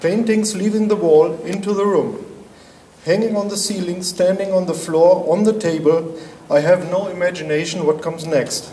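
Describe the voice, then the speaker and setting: A man speaks at a moderate pace in a high voice with fairly even intonation. There is audible room echo and noticeable background noise. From Germany. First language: German. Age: 50s. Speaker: artist. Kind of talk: artist presentation.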